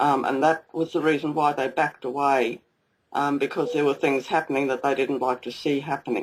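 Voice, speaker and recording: This woman, with a very deep, low pitch and an Australian accent, talks at a fairly quick pace in a flat monotone. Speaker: UFO contactee. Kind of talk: interview.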